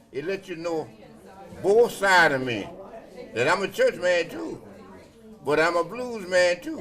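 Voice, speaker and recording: With noticeable background noise behind him, a man with a high pitch speaks at a fairly slow pace with lively intonation and long, frequent pauses. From South Carolina. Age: 80s+. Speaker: blues musician. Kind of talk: interview answer.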